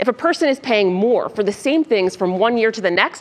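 Her pitch swings very widely. The speaker is a woman. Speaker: news presenter. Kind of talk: news fact-check presentation. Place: studio. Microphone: lapel.

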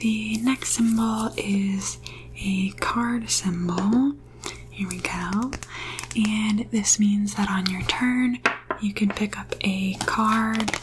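Over noticeable background noise, a soft-spoken woman talks at a very slow pace with fairly even intonation. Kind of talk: tutorial. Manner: soft-spoken close-mic ASMR voice. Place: home room. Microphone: studio mic.

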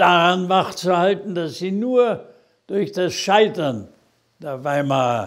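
The voice moves at a very slow pace with very wide pitch swings. The background is quiet. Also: man. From Germany. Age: 80s+. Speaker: politician. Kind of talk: political video address. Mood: earnest, admonishing. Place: office. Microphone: lapel.

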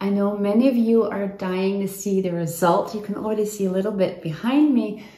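The voice belongs to a woman who talks at a fairly quick pace with hardly any pauses. Audible room echo surrounds it. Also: fairly even intonation. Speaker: home renovation vlogger. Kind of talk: casual vlog chat. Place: kitchen. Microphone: phone near.

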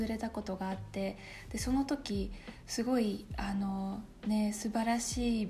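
A woman with a Russian accent, fairly high in pitch, at a fairly slow pace, with faint music in the background. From Russia, small town. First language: Russian (speaking Japanese). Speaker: YouTuber, university student; YouTuber. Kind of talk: casual Q&A vlog. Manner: casual, chatty. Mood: warm, relaxed. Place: home room.

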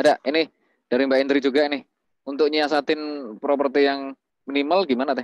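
A man's fairly high, flat monotone at a fairly quick pace, dry with no echo against a quiet background. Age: 30s. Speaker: webinar moderator. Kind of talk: online class moderation. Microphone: video call.

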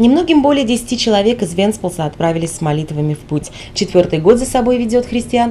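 Over noticeable background noise, a woman talks at a fairly quick pace. Her medium pitch moves in very wide swings. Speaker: TV news reporter. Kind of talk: scripted narration.

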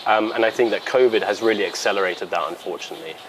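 The man's very fast delivery is accompanied by noticeable noise in the background. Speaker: interviewee. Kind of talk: interview answer. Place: garden. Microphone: lapel.

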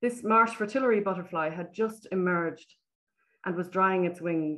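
This woman speaks in an Irish accent. Her pace is moderate and her intonation fairly even. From Ireland. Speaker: nature photographer. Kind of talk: presentation. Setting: video call. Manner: soothing. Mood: warm, admiring. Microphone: webcam.

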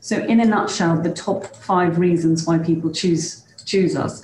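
A woman with a fairly low pitch speaks amid light background noise and audible room echo. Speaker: head of higher education at a college. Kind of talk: presentation. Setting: video call.

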